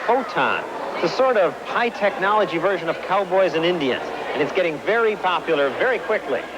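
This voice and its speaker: Lively in intonation, a man talks at a fairly quick pace over noticeable background noise. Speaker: TV consumer correspondent. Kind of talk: TV news report narration.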